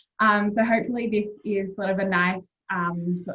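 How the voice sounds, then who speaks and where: A woman speaks with an Australian accent and ordinary pitch variation. Her voice is somewhat breathy. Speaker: university admissions representative. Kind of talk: informal presentation.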